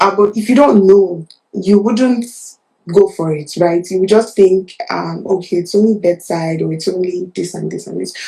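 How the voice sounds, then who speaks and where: A woman with a Nigerian accent speaks at a medium pitch and a moderate pace. Her pitch variation is ordinary. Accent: Nigerian accent, unchanged. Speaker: nurse turned product manager. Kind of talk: interview. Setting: livestream. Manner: halting, many fillers.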